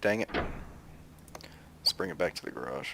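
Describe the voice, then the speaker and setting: A man speaks with a Southern US accent and vocal fry, his voice recorded with a dry, close sound and no echo. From US South. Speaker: gaming YouTuber. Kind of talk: gameplay commentary. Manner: casual, conversational.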